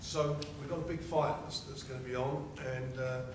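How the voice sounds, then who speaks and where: With audible room echo and noticeable background noise, a man speaks in a monotone, flat intonation. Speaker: boxing promoter hosting. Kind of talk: press conference announcement. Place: hall. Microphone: podium.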